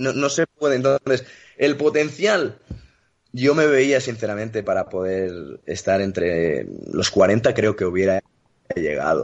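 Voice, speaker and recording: Very wide pitch swings mark this man's medium-pitched voice. He speaks at a very slow pace with vocal fry. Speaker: retired tennis player. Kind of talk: interview.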